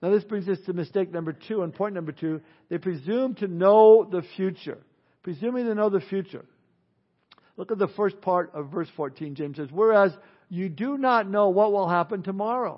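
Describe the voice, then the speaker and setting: With a high pitch and lively intonation, a man speaks at a moderate pace with long, frequent pauses. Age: 60s. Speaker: pastor. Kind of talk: sermon.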